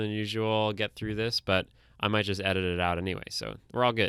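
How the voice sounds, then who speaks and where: On a very clean recording with a silent background, a man with a fairly low pitch and a bright, sharp tone speaks at a fairly quick pace. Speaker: podcast co-host and editor. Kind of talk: casual chat. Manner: faster than usual; deadpan.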